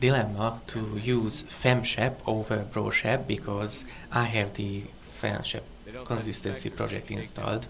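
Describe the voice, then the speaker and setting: A man with a non-native accent, fairly low in pitch, at a fairly slow pace, with audible room echo and noticeable background noise. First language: not English. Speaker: gaming commentator. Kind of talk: recorded gameplay commentary. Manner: pauses while searching for words.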